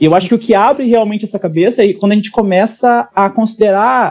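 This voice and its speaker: A man's high voice at a fairly quick pace. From Brazil, interior of Paraná. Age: 30s. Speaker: startup consultant. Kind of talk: interview.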